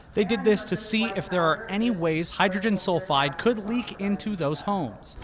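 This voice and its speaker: With noticeable background noise, a man speaks at a moderate pace and a high pitch, with ordinary pitch variation and hardly any pauses. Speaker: multimedia journalist, TV news reporter. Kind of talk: TV news reporting, live shots and packages.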